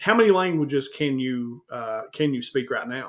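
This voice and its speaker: With an Eastern Kentucky accent, a man talks in a fairly high pitch with ordinary pitch variation. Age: 40s. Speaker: YouTube host, comic collector. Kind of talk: casual interview. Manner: animated.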